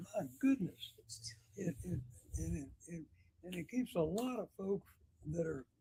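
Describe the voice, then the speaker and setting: A man's high-pitched, dark, mellow voice in an Alabama accent, with very wide pitch swings, big swings in loudness and long, frequent pauses. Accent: Southern US (Alabama). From US South. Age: 80s+. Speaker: retired mayor. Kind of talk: talk show interview. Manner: halting, repeats words.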